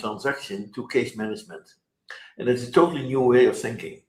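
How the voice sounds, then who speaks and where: A man with a fairly high pitch speaks at a fairly quick pace. His voice is somewhat breathy, with lively intonation. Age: 80s+. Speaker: software company founder. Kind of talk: interview. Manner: fast.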